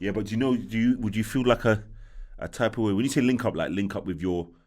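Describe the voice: A man's fairly low voice at a fast pace, with ordinary pitch variation and a slightly mellow tone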